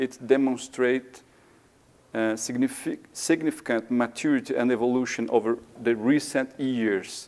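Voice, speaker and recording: A man speaks with a Portuguese accent at a fairly slow pace. His intonation is fairly even. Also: medium pitch for a man. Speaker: maintenance engineer. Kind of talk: conference presentation. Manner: halting, many fillers.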